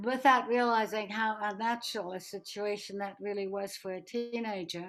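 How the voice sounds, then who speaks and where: A woman talks at a fairly slow pace. Behind her, music plays. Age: 80s+. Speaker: Holocaust escapee and refugee. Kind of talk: interview answer.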